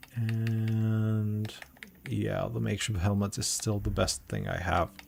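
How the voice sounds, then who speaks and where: Very slowly and with fairly even intonation, a man speaks at a fairly low pitch over noticeable background noise. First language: not English. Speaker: game developer community manager. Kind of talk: gameplay walkthrough stream. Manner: halting.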